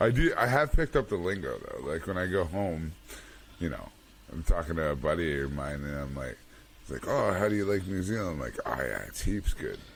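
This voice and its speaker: At a fairly quick pace, a man talks with a Canadian accent. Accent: Canadian accent, still has it. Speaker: podcast co-host. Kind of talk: casual chat.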